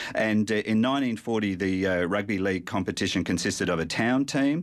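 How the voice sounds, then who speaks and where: With an Australian accent, a man speaks at a fairly low pitch using ordinary pitch variation. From South Australia. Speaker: sport historian. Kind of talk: radio interview. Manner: halting.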